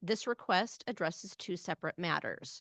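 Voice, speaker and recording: A woman speaks at a fairly quick pace with ordinary pitch variation. The sound is dry and close with no echo, over a quiet background. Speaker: transit agency finance officer. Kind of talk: budget presentation. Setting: hybrid public board meeting. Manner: usually loud.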